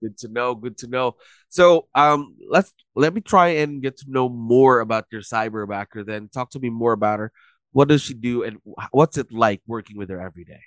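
A man with an unremarkable speaking voice talks at a moderate pace, medium in pitch with ordinary pitch variation and big swings in loudness. The sound is dry and close with no echo, against a quiet background. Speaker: podcast host. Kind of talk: scripted intro and casual interview.

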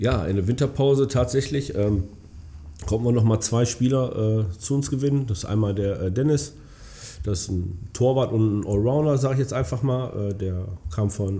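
This man has an ordinary speaking voice, medium in pitch, with ordinary pitch variation. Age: 30s. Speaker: amateur football club chairman. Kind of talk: casual interview.

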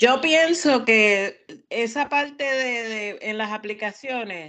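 A woman speaks with a fairly high pitch and lively intonation in a bright, sharp tone against a quiet background. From Puerto Rico. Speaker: podcast co-host. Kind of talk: casual chat.

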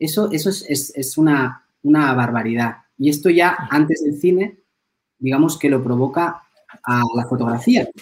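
A man's fairly high-pitched voice at a fairly slow pace, with ordinary pitch variation. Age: 40s. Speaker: film teacher and philosopher. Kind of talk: interview conversation. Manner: hesitant, frequent repetitions.

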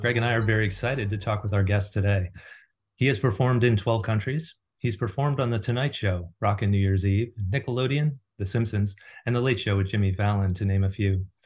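A man talks at a fairly quick pace, somewhat breathy, with ordinary pitch variation. The recording is very clean over a silent background. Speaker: podcast co-host. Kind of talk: casual interview conversation.

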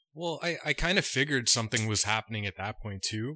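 With a Canadian accent, a man speaks at a moderate pace with a fairly low pitch, a bright, sharp tone and lively intonation. The recording is very clean, with a silent background and a dry, close sound with no echo. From Canada. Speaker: podcast co-host. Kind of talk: casual chat.

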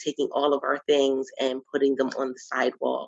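A woman at a moderate pace, in a Philadelphia accent. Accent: Philadelphia American. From Philadelphia, US. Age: 30s. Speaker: women's empowerment coach and podcast host. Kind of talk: casual interview chat.

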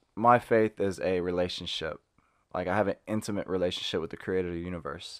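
On a very clean recording with a silent background, a man with a very deep, low pitch and an American accent speaks at a very fast pace with fairly even intonation. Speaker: professional basketball player. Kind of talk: interview about faith and career.

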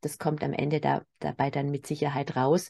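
A woman speaks at a fairly slow pace with vocal fry. The background is quiet. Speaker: spiritual medium and healer. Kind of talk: spiritual weekly message. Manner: spontaneous, unscripted.

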